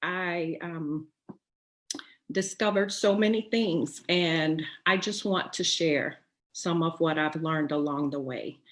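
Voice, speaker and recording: A woman's fairly low-pitched voice at a fairly slow pace, with ordinary pitch variation, over a quiet background. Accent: American. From Texas. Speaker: writer and poet, webinar host. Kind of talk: inspirational webinar talk. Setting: online webinar. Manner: hesitant, many fillers.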